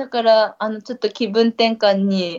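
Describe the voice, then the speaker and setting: A woman talks at a fairly slow pace in a normal speaking voice, her pitch medium. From Niigata, Ojiya. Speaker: trail runner. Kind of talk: casual chat.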